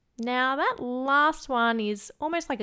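A woman speaks with an Australian accent and lively intonation. Her tone is bright and sharp, on a very clean recording with a silent background. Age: 20s. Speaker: podcast host. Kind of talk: solo podcast monologue.

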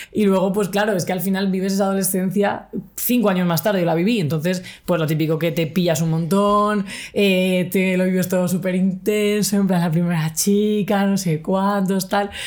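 Amid audible room echo, a woman speaks at a moderate pace with a monotone, flat intonation and very even loudness. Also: medium pitch for a woman. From Spain, Cartagena (Murcia). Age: 30s. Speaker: LGBTI activist and podcaster. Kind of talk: casual interview chat. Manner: casual, slangy.

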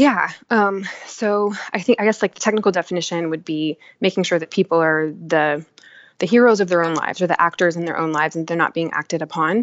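A woman's ordinary speaking voice, fairly low in pitch, at a fairly quick pace with ordinary pitch variation. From Texas, Dallas. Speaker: nonprofit foundation director and storyteller. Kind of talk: casual interview. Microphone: unstable internet connection.

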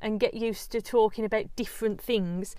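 An English accent comes through. There is no background sound at all, and the recording is very clean. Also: woman. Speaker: yoga teacher and podcast host. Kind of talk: solo podcast monologue. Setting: home recording in a small larder.

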